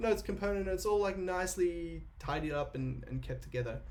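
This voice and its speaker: A man talks at a fairly quick pace. Room echo is audible around him. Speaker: software developer. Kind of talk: live coding tutorial. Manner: fast.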